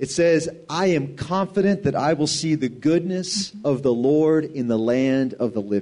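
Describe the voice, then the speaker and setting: A man's fairly high, dark, mellow voice at a fairly slow pace, with hardly any pauses and very even loudness. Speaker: preacher. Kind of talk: sermon.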